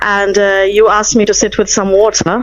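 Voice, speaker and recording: Noticeable background noise behind a medium-pitched female voice. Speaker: caller giving testimony. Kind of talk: testimony. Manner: hesitant, many fillers.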